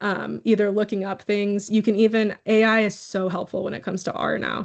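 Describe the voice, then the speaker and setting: A woman with a Texas accent talks at a fairly quick pace in a medium pitch. Her intonation is monotone and flat, and the background is quiet. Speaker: academic researcher presenter. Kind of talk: conference Q&A answer. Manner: casual, hesitant with fillers.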